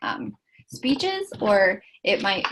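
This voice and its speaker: A woman's voice with vocal fry over a quiet background. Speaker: webinar presenter, international student advisor. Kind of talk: webinar presentation. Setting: online webinar. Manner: loud; hesitant, many ums.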